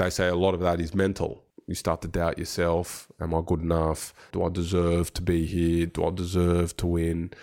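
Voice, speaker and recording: A man with a very deep, low pitch and a dark, mellow tone speaks in a monotone, flat intonation on a very clean recording with a silent background. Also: moderate pace. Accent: Australian. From Australia, Sydney. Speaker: football director, former professional footballer. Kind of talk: interview.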